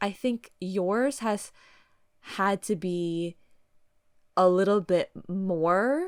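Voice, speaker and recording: The voice is loud on a very clean recording with a silent background. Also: woman. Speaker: podcast co-host. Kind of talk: casual chat. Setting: recording with headphones on.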